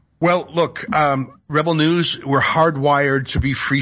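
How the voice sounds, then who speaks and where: In a plain, everyday voice, a man speaks at a fairly high pitch with ordinary pitch variation. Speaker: media commentator. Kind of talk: interview.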